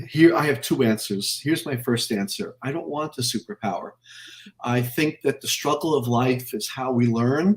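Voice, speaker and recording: Somewhat breathy, a man speaks in a medium pitch with lively intonation. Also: moderate pace. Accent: American. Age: 60s. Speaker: anatomy educator. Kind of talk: casual interview.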